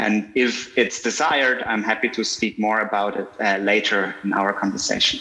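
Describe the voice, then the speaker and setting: Over noticeable background noise, the speaker keeps a moderate pace with hardly any pauses and fairly even intonation. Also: man, fairly low pitch for a man. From Switzerland. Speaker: filmmaker. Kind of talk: panel discussion. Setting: video call.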